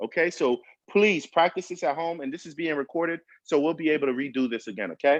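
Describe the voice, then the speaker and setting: A man talks at a very fast pace in a fairly high pitch with ordinary pitch variation. The sound is dry and close with no echo, and his loudness swings widely. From Brooklyn, New York, Haitian-American household. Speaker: chef. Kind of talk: cooking class demonstration. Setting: video call. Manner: animated.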